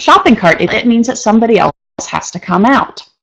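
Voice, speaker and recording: Her voice is high and swings very widely in pitch. The woman talks at a fairly quick pace. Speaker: instructor. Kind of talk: online lecture. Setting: live online session. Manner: fast.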